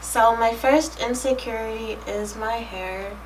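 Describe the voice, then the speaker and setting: The voice is soft-spoken, with noticeable background noise and audible room echo. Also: woman. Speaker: lifestyle vlogger. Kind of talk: personal vlog talk to camera.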